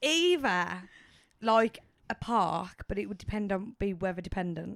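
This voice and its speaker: Here a woman with a Birmingham accent speaks at a fairly slow pace and medium pitch. Her pitch varies in an ordinary way, and the sound is dry and close with no echo. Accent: Brummie. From Birmingham, England. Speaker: podcast co-host. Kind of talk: casual chat.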